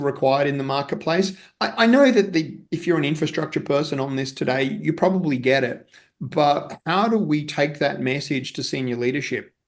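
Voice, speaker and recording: A man speaks with an Australian accent at a fairly high pitch. His pace is fairly quick, with ordinary pitch variation. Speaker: technology executive, storage company CTO. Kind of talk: panel discussion.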